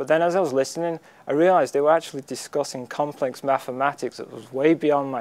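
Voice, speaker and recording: A man with a Lancashire accent talks at a fairly quick pace, his pitch fairly high. His intonation is fairly even, and the recording is very clean with a silent background. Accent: northern English, Lancashire. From Wigan, northwest England. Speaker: community college student. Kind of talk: interview answer.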